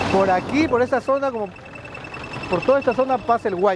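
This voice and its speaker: There is noticeable background noise as a man talks at a fairly quick pace. His voice sounds dry, without echo. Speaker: travel vlogger guide. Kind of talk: casual vlog narration to camera. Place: street.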